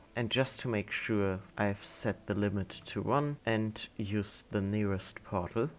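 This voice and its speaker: With a non-native accent, a man speaks fairly slowly in a fairly low voice with ordinary pitch variation. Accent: non-native English, self-described. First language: not English. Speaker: gaming tutorial creator. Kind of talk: tutorial.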